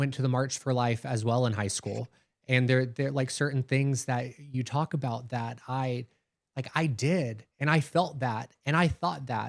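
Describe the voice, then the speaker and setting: A man with an American accent talks at a fairly slow pace and a medium pitch, with ordinary pitch variation. It is an ordinary speaking voice. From US South, Alabama. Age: 30s. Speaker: podcast host. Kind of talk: interview conversation.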